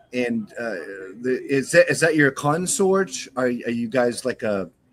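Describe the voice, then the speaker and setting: Speaking with a New England accent, a man keeps a fairly slow pace and a medium pitch. His intonation is lively. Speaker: talk show host. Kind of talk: interview. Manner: halting.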